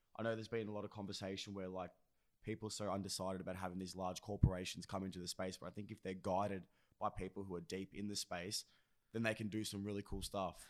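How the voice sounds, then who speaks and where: A man with an Australian accent speaks very fast in a fairly low, monotone, flat voice. The recording is very clean, with a silent background. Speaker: podcast co-host. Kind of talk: casual chat.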